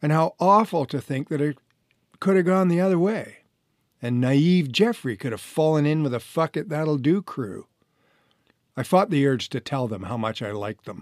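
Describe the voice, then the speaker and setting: A man speaks with a fairly high pitch and very wide pitch swings. The recording is very clean, silent, dry and close with no echo. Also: moderate pace. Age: 60s. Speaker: author and renovation contractor, former actor. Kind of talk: reading aloud from own memoir.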